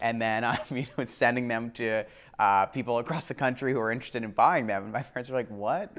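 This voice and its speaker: Fairly quick speech from a man at medium pitch, with a Northeastern US accent, very clean recording and silent background. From US Northeast, Connecticut. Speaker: startup founder. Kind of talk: interview. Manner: casual, many fillers.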